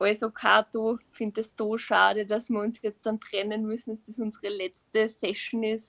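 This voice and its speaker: A woman speaks at a fairly high pitch in a monotone, flat intonation, with hardly any pauses and big swings in loudness. The sound is dry and close, with no echo. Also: moderate pace. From Upper Austria. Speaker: creative writing student, short story writer. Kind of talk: casual interview.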